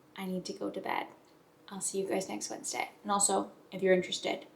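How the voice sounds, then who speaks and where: The speech races along at a very fast pace. Background noise is clearly audible behind it. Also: woman. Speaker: lifestyle vlogger. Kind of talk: casual vlog chat. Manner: whispering at the end.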